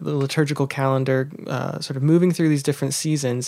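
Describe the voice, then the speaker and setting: Fairly high in pitch, a man speaks with monotone, flat intonation. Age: 20s. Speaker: humanities scholar. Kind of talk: casual chat.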